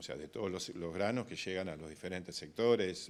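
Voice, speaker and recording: A man with a very deep, low pitch. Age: 60s. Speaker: grain broker. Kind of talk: interview. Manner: hesitant, many fillers and repetitions.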